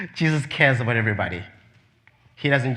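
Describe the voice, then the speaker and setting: A man's bright, sharp tone with fairly even intonation and audible room echo. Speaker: preacher. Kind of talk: sermon.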